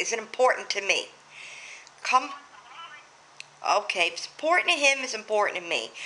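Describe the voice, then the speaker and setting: A woman speaks in a raised, projected voice with an American accent. Her high pitch swings very widely. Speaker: vlogger. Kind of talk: casual vlog talk. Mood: joking, slightly irritated. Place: home room. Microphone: webcam.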